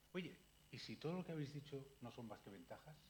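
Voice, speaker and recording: Fairly quick speech with vocal fry and audible room echo. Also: man. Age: 60s. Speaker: psychiatrist. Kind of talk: public lecture. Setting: library talk with audience. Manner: animated.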